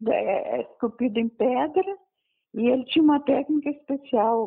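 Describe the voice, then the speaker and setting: A woman's high-pitched voice with lively intonation at a fairly slow pace. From Brazil, Goiás (Anápolis). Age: 80s+. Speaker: local historian and author. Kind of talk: phone interview. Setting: phone call.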